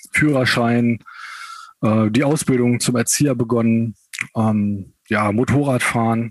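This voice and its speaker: His pitch sits in the middle range for a man. The man's intonation stays monotone and flat. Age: 30s. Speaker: amputee, kindergarten educator. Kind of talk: interview.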